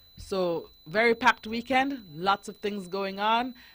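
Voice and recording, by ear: Her pace is slow, her tone fairly bright and her pitch variation ordinary. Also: medium pitch for a woman.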